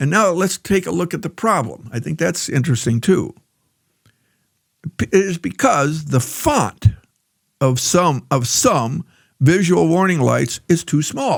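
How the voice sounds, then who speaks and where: A man with a fairly high voice speaks with vocal fry and lively intonation, leaving long, frequent pauses. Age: old. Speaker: political commentator. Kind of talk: political commentary monologue. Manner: halting.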